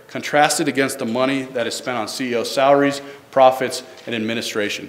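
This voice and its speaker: Amid noticeable background noise and audible room echo, a man of medium pitch talks at a fairly quick pace with ordinary pitch variation. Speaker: government staffer presenting health reform. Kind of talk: public presentation. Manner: fast.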